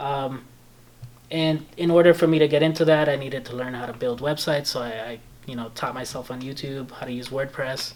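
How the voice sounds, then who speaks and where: A man with a slight Belizean accent talks at a fairly quick pace and a fairly high pitch. His intonation is fairly even, while his loudness swings widely. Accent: slight Belizean Creole-tinged English. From Belize (born in El Salvador). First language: Spanish. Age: 20s. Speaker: video editor and photographer. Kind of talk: casual chat.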